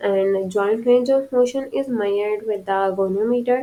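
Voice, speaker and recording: A woman's fairly high-pitched voice with a non-native accent, a dark, mellow tone and fairly even intonation. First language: not English. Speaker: physical therapy lecturer. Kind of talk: lecture. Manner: halting, with fillers and restarts.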